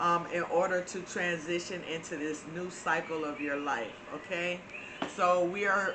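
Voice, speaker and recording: In an American accent, the voice moves at a fairly slow pace with fairly even intonation, amid audible room echo and noticeable background noise. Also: woman. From Florida, US South. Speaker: spiritual channel host. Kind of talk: spiritual talk to viewers. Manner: hesitant with frequent fillers.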